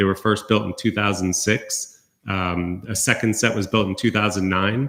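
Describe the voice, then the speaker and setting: A man with a fairly low voice keeps his intonation fairly even. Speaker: university recreation center administrator. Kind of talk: budget hearing presentation. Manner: fast.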